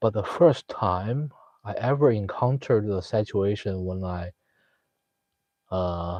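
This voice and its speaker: A man with a Chinese accent, fairly slow, with long and frequent pauses and ordinary pitch variation. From China. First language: Mandarin Chinese. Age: 30s. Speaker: live streamer. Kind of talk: casual chat. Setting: live stream chat room. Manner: halting, many fillers.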